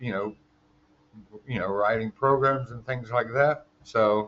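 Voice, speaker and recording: The man's voice sits at a medium pitch. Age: 60s. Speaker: podcaster, former electronics technician. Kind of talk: casual monologue, life story. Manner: halting, many fillers.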